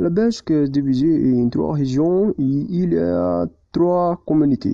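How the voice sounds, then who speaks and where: Speaking very slowly with a strong non-native accent, a man uses a fairly high pitch and very wide pitch swings. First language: not French (speaking French). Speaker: language student. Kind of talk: prepared presentation. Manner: halting.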